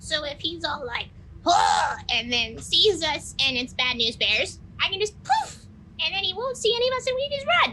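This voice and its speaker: In a put-on character voice with an extremely high pitch and very wide pitch swings, the speaker goes at a moderate pace over clear background noise. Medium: actual play. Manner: breezy, flippant.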